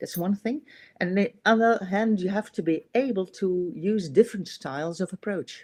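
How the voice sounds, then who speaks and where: Speaking with a Dutch accent, a woman at medium pitch moves at a moderate pace with ordinary pitch variation, in a dry, close sound with no echo. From Netherlands. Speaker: manager. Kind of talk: casual interview chat. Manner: hesitant, many fillers.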